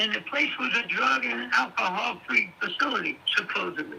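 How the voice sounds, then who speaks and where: Noticeable background noise is present. Through it, a man talks at a moderate pace. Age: 70s. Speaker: old friend of the streamer. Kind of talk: casual chat.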